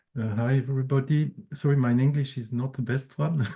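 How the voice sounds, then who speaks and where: Against a quiet background, a man speaks in a medium pitch with a dark, mellow, somewhat breathy tone and fairly even intonation. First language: French or German. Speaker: standards organization manager. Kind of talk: presentation. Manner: halting.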